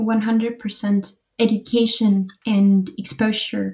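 With a Spanish accent, a woman speaks at a medium pitch in a dark, mellow, somewhat breathy tone. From Uruguay. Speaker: financial advisor. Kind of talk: casual chat.

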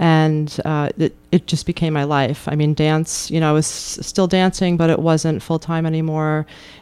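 A woman's very deep, low voice in an American accent, dark and mellow in tone, at a moderate pace. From New York. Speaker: yoga teacher. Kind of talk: interview.

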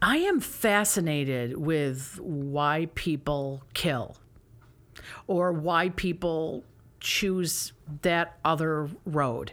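The pace is very slow and the loudness very even. It is a very clean recording with a silent background. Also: woman, very deep, low pitch for a woman, ordinary pitch variation. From upstate New York. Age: 50s. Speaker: theater director and actress. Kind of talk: casual interview.

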